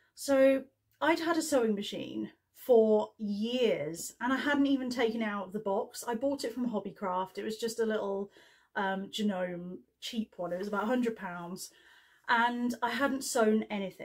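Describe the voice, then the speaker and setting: Over a quiet background, a woman speaks at a fairly slow pace in a somewhat breathy voice with ordinary pitch variation. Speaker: sewing vlogger. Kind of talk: casual vlog chat. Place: home room. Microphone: camera far.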